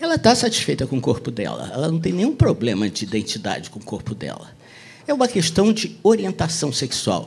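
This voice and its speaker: Talking at a fairly quick pace, a man's voice makes big swings in loudness. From Brazil, Rio de Janeiro. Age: 60s. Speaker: author and speaker. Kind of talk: talk at a public event. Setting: bookstore event with audience.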